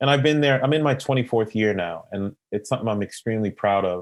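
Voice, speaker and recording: This man has an unremarkable speaking voice, medium in pitch with ordinary pitch variation, and speaks with an American accent. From Boston, US. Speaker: consultant and real estate investor. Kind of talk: interview.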